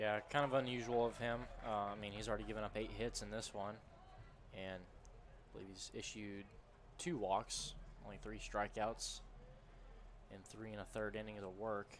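A man speaks at a moderate pace, leaving long, frequent pauses. His loudness swings widely over light background noise. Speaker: color commentator. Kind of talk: baseball color commentary and analysis. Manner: conversational, analytical. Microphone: headset.

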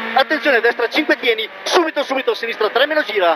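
The sound is dry, with no echo. Noticeable background noise can be heard. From Italy. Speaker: rally co-driver reading pace notes. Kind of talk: rally co-driver reading pacenotes aloud. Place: car. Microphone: helmet.

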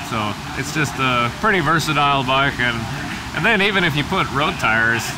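Noticeable background noise runs under this man's voice. He keeps a moderate pace with ordinary pitch variation. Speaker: interviewee. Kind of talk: interview answer. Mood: relaxed, casual. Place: cafe.

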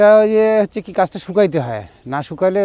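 A man speaks with lively intonation. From Rangpur, northern Bangladesh. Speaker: date palm sap collector and seller. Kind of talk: casual interview.

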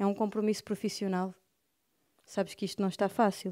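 Over a quiet background, a woman speaks at a moderate pace. Her tone is dark and mellow. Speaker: poet reading aloud. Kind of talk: poetry reading. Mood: wistful, expressive. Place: studio. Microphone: handheld.

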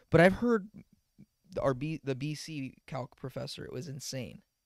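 Against a quiet background with a dry sound and no echo, a man speaks at a moderate pace in a fairly high pitch, showing vocal fry and lively intonation. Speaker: podcast co-host. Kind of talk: casual chat. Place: home room. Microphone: handheld.

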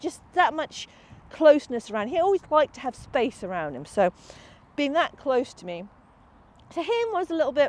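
A woman speaks at a fairly quick pace with very wide pitch swings. The sound is dry, with no echo. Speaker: dog agility trainer. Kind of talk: tutorial. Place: open country.

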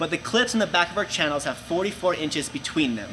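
A man talks at a fairly quick pace with fairly high pitch and lively intonation. Clear background noise sits behind him.

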